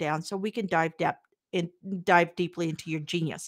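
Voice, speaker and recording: A woman with a Midwestern American accent at a moderate pace, on a very clean recording with a silent background. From US Midwest, Kansas. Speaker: podcast host, real estate agent. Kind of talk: interview.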